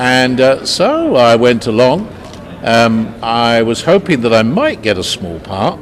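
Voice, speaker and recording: Amid noticeable background noise, a man at a medium pitch talks at a very slow pace with ordinary pitch variation. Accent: British. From London, England. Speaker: actor. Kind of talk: interview. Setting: convention interview. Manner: hesitant, many filler sounds.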